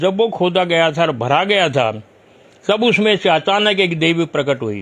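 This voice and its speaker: A man speaks at a moderate pace in a high voice. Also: lively intonation. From Narela, Delhi, India. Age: 80s+. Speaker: local historian and author. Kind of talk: interview. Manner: storytelling, occasional halting.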